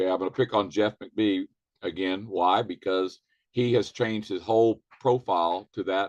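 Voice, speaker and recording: He has an unremarkable speaking voice, at a fairly low pitch with fairly even intonation. The man keeps a moderate pace, and the sound is dry and close with no echo. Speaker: network marketing trainer. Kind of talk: training webinar.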